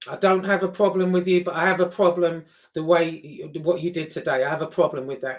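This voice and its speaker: The delivery comes at a moderate rate. It carries a London accent. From England, raised in Liverpool then London. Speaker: YouTuber. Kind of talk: casual vlog rant. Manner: animated.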